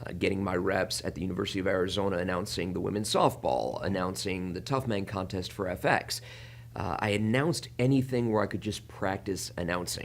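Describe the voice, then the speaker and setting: Very deep, low male voice with vocal fry and lively intonation. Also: fairly quick pace. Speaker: wrestling ring announcer. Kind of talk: interview.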